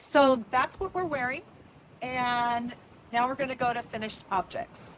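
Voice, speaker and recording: A loud woman speaks at a fairly slow pace with a high pitch. Her pitch varies in an ordinary way, and she leaves long, frequent pauses. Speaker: knitting podcaster. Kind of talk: casual chat. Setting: outdoors on a river cruise boat.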